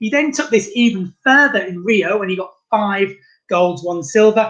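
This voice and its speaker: Speaking with a British accent, a man uses a high voice with ordinary pitch variation. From England. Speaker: tourist guide. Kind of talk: virtual guided tour presentation. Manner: fast.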